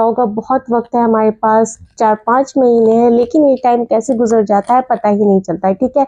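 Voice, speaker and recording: This woman's pitch sits high. Her intonation stays fairly even. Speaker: school chemistry teacher. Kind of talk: tutorial.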